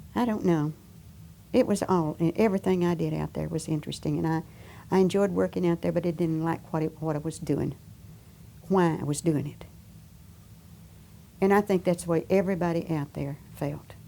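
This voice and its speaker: A woman's dark, mellow voice, fairly low in pitch, at a fairly quick pace with long, frequent pauses and fairly even intonation. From US South. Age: 80s+. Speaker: war veteran worker. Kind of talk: oral history interview. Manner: halting.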